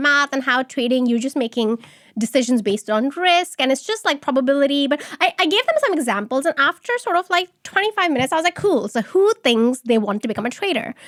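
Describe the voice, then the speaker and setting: Loud and high-pitched, a woman talks at a fairly quick pace with very wide pitch swings, in a dry, close sound with no echo. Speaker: start-up founder. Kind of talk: interview.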